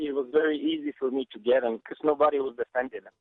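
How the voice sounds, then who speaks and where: A man with a Bulgarian accent, fairly high pitch, fairly even intonation and a fairly quick pace. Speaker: Sambo champion and grappling coach. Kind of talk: podcast interview. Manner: halting, many fillers and repeats.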